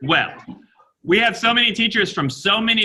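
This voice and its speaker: A man with an American accent talks at a moderate pace. His bright, sharp tone moves through very wide pitch swings. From United States. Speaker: teacher. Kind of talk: classroom video call with students. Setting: video call.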